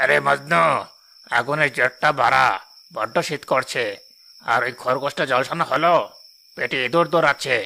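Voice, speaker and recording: A man does a cartoonish character voice at a moderate pace. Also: fairly high pitch for a man. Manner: bossy, gruff.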